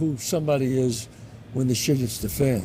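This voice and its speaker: A man speaks with a New York accent. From the Bronx, New York. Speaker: actor and writer. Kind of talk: interview answer.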